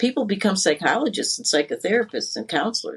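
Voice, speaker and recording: A woman talks at a moderate pace and medium pitch. Her voice is somewhat breathy. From Connecticut, US East Coast. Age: 60s. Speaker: life coach. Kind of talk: interview.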